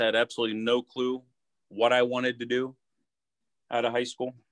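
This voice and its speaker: Speaking fairly quickly with an Ohio accent, a man at medium pitch comes through in a dry, close sound with no echo. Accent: Midwestern US (Ohio). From Youngstown, Ohio. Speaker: car salesman. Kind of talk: casual chat.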